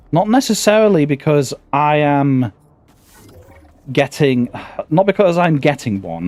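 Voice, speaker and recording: Music plays in the background as a man with a British accent speaks at a fairly high pitch. His pitch swings very widely, and he takes long, frequent pauses. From Britain. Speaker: gaming streamer. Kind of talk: casual gameplay commentary. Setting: live stream. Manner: halting, stammering.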